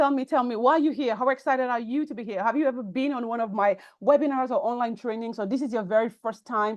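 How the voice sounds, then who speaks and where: With a Nigerian accent, a woman talks at a high pitch and a fairly quick pace, her pitch varying in an ordinary way. The background is quiet. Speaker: personal branding coach. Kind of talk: online workshop webinar. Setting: online call, audio only. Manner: fast; animated.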